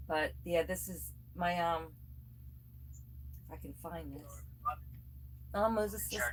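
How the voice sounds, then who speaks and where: A woman talks at a fairly slow pace with long, frequent pauses. Audible room echo follows her words. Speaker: yarn crafter livestreamer. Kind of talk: casual livestream chat. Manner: soft-spoken, regaining volume after weeks of whispering. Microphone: far from the recording device.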